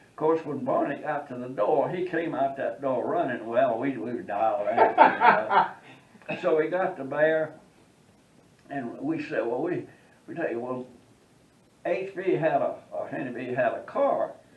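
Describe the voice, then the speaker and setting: A fairly slow pace with long, frequent pauses over noticeable background noise. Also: man. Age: 80s+. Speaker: war veteran. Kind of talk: anecdote storytelling.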